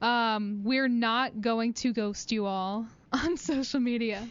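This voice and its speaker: The woman speaks at a fairly high pitch. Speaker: college radio host. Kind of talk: casual chat. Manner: hesitant, many fillers.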